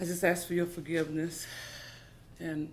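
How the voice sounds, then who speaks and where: Audible room echo surrounds the speech of a woman. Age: 50s. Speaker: pharmacy technician. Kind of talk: testimony.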